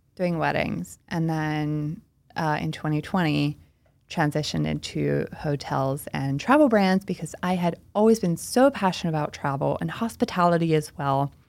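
A woman with a Pennsylvania accent talks at a moderate pace in a very deep, low pitch. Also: ordinary pitch variation, very clean recording, silent background. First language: Pennsylvania Dutch. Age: 30s. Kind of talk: casual interview.

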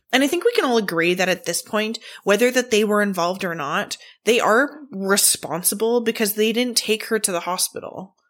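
At a fairly quick pace, a woman speaks in a fairly high pitch with lively intonation. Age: 30s. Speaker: true crime podcast host. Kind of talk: solo podcast narration. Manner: casual, chatty with filler words.

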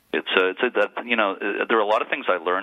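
Against noticeable background noise, a man with an American accent speaks in a very deep, low voice with fairly even intonation. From Massachusetts (Lynn). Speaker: author and local historian. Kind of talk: interview on a radio show.

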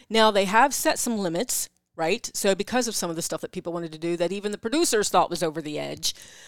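In a slight East Coast American accent, a woman talks at a very fast pace with lively intonation and a medium pitch. The sound is dry and close with no echo, on a very clean recording with a silent background. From US East Coast. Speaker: podcast co-host, sex educator. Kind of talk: casual chat. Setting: live stream.

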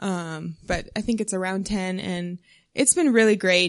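A woman's normal speaking voice with an American accent, medium in pitch, at a fairly slow pace, over a quiet background. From South Texas. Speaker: missionary and new doctor. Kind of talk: interview testimony in church.

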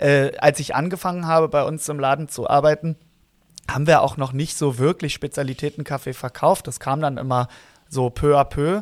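A man with an ordinary speaking voice, fairly high in pitch, at a moderate pace with fairly even intonation, in a dry, close sound with no echo. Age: 30s. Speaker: barista, podcast co-host. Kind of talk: casual chat. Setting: remote recording.

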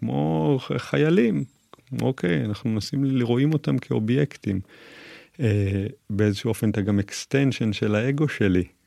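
The voice has a dark, mellow tone and lively intonation at a moderate pace. The sound is dry and close with no echo. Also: man. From Israel, western Galilee kibbutz. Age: 40s. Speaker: psychotherapist and martial arts therapy center owner. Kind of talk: interview conversation.

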